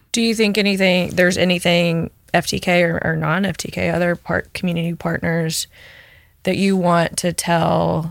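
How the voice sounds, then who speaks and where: A woman with a Southern US accent speaks at a fairly slow pace. The recording is very clean, with a silent background. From Memphis, Tennessee, US South. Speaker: guest interviewer, community volunteer. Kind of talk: casual interview, asking questions.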